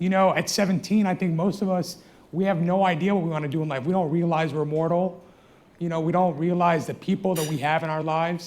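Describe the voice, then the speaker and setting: A high-pitched man's voice with an American accent, at a very fast pace. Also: fairly even intonation. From United States. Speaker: trauma surgeon. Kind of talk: panel discussion.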